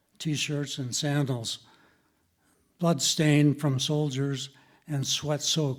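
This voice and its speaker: At a very slow pace, a man speaks with fairly even intonation and a fairly high pitch in a very clean recording with a silent background. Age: 80s+. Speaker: retired surgeon. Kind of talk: storytelling.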